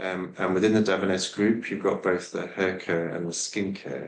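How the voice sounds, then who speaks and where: A man with an English accent speaks at a fairly quick pace. His voice is very deep and low, with fairly even intonation. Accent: British (English). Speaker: scientist. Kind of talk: podcast interview. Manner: halting, many fillers.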